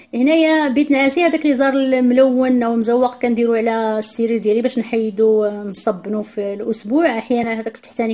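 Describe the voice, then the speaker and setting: Her pitch is high, with ordinary variation. The woman talks at a fairly quick pace. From Morocco. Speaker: home vlogger. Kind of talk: vlog narration. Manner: halting. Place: home room. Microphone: phone near.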